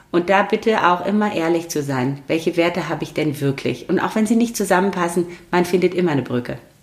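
Over noticeable background noise, a woman talks at a very fast pace. Her pitch is fairly low, with ordinary variation. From Romania (Transylvania), came to Germany around age 9. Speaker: lawyer and civil servant. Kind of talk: casual interview.

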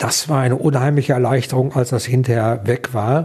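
This man's voice has a dark, mellow tone and medium pitch. It sounds somewhat breathy. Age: 60s. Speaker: liver transplant recipient, retiree. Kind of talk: interview testimony.

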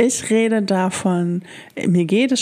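Ordinary pitch variation in a medium-pitched female voice. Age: 40s. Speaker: solo podcast host. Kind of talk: personal monologue, rant. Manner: hesitant, many filler sounds.

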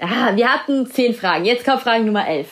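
A woman speaks at a high pitch. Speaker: celebrity news podcast host. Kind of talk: quiz hosting. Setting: at home with cat.

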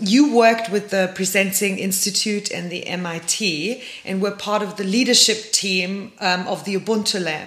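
With hardly any pauses, a woman talks at a moderate pace and medium pitch with fairly even intonation over noticeable background noise. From Germany. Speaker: podcast host. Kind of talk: interview.

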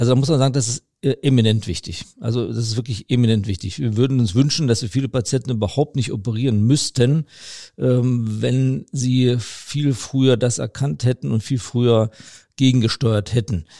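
A man speaks at a moderate pace and medium pitch, his tone dark and mellow. The sound is dry and close with no echo, and his pitch varies in an ordinary way. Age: 50s. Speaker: vascular surgeon, chief physician. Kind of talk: expert interview. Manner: hesitant with many fillers.

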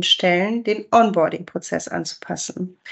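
The speech moves at a fairly slow pace with ordinary pitch variation. It is a normal speaking voice. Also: woman. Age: 40s. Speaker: sales manager. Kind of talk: interview.

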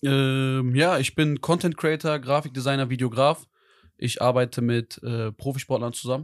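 In a very clean recording with a silent background and a dry, close sound without echo, a man with an unremarkable speaking voice talks at a medium pitch, moderate pace and fairly even intonation. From Iserlohn near Dortmund, Germany. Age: 20s. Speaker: content creator and videographer. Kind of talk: casual chat.

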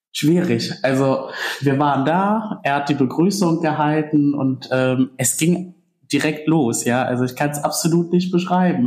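A man speaks in a normal speaking voice at a fairly slow pace with ordinary pitch variation. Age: 20s. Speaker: student pilgrim. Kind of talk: casual interview. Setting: pilgrim centre, indoors.

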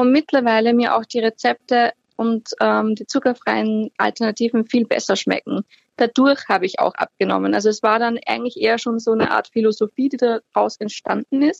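The speaker has an Austrian accent, recorded with a dry, close sound and no echo. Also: woman, fairly high pitch for a woman, ordinary pitch variation, moderate pace. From Austria, Upper Austria (Linz). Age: 30s. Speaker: healthy lifestyle blogger. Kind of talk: interview. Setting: phone call.

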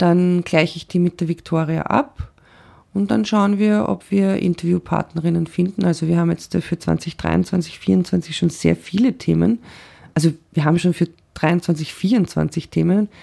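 With a dark, mellow tone, a woman speaks at a fairly slow pace. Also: fairly low pitch for a woman, ordinary pitch variation. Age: 40s. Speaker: podcaster with bipolar disorder. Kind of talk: interview.

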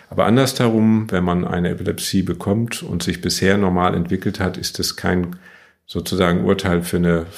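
A man talks at a fairly slow pace. His very deep, low voice keeps a fairly even intonation. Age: 60s. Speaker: neurologist, chief physician. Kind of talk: interview.

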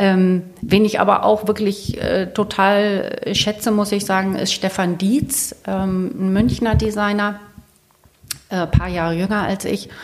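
Very slowly, a woman speaks at a medium pitch in a monotone, flat way. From northern Germany, Lower Saxony (Celle). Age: 50s. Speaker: interior and architecture journalist. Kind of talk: casual interview. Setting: at home in her kitchen.

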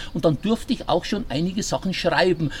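A man in a Bavarian accent, high-pitched and fairly quick, against noticeable background noise. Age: 60s. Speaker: sports radio commentator and newspaper editor. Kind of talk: casual interview. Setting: rooftop terrace, in person.

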